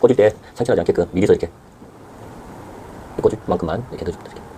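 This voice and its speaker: A man at a very fast pace with long, frequent pauses, big swings in loudness, ordinary pitch variation and noticeable background noise. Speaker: home gardener. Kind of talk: tutorial. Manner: halting.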